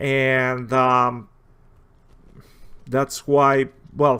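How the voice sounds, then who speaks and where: A man talks with a strong Spanish accent. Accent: heavy Spanish. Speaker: video game commentator. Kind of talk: gameplay commentary. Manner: halting, many fillers.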